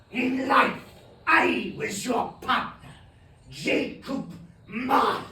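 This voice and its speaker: Doing a put-on character voice at an extremely high pitch, a man speaks at a very slow pace with long, frequent pauses and a slight echo. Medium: stage play. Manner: solemn, grave.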